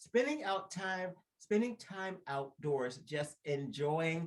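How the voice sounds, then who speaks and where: A man with a fairly high pitch talks in an animated tone with lively intonation. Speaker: podcast co-host. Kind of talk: casual chat. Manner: fast.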